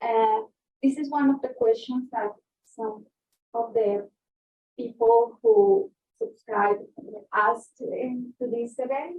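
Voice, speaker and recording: In a Spanish accent, the speech moves at a very slow pace with lively intonation and long, frequent pauses. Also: woman, high pitch for a woman. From Colombia. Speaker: guest speaker, researcher. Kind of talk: lecture. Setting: talk with in-person and remote audience. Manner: halting, with fillers and self-corrections.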